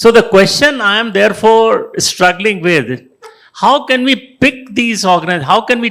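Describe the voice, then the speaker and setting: At a moderate speed, the speech moves along. Its tone comes across bright and sharp. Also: man, high pitch for a man, ordinary pitch variation. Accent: Indian. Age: 80s+. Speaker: retired business executive and author. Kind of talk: panel discussion. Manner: halting.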